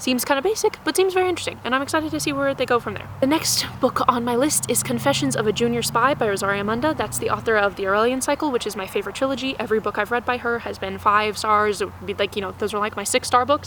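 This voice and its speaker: A woman's fairly high voice with lively intonation, racing at a very fast pace with hardly any pauses, over noticeable background noise. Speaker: book youtuber. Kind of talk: casual chat.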